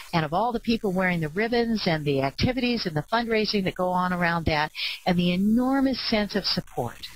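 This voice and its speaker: Lively intonation marks this woman's ordinary speaking voice. She speaks at a fairly quick pace with a medium pitch. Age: 60s. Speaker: clinical psychologist and ADHD advocate. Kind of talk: webcast presentation.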